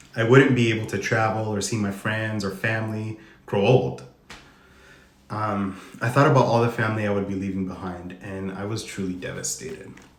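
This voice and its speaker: A man with an American accent talks at a fairly quick pace in a fairly low pitch, his pitch varying in an ordinary way, with audible room echo around him. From Arizona, US (Tucson). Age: 30s. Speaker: HIV advocate sharing personal story. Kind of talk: reading aloud a personal testimony. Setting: Instagram live stream.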